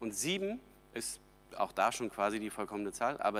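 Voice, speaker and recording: Speaking at a moderate pace, a man uses a plain, everyday voice at medium pitch with lively intonation. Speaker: pastor. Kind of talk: sermon.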